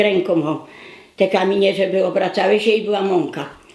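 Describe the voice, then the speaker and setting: Noticeable background noise runs behind this woman's medium-pitched voice. She talks at a moderate pace with fairly even intonation. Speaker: war witness. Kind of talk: documentary interview answer.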